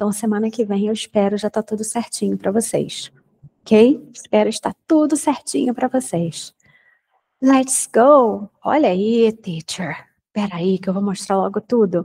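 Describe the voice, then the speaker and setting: Dark and mellow in tone, a woman's somewhat breathy voice moves at a fairly slow pace with lively intonation. The sound is dry and close, with no echo. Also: fairly high pitch for a woman. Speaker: English teacher. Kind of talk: lecture. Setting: recorded online class.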